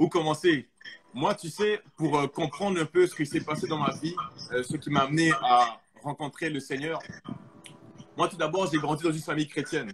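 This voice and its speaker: A man speaks at a fairly high pitch, with long, frequent pauses and big swings in loudness. Music plays in the background. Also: ordinary pitch variation, moderate pace. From Quebec (Montreal), arrived from Congo at 8. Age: 20s. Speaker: testimony guest. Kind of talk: testimony. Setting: live stream.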